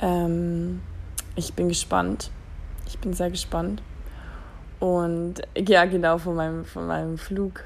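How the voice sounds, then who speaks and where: In a room with audible echo, a woman speaks at a very slow pace with long, frequent pauses. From Germany. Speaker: podcast host. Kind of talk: casual monologue. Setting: lying in bed at home. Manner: hesitant, many fillers.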